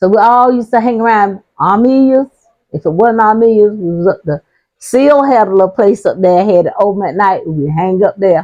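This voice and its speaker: With an American accent, a woman talks at a fairly quick pace in a dark, mellow tone, at medium pitch with ordinary pitch variation. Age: 70s. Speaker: community elder. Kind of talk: oral history interview. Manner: casual, storytelling.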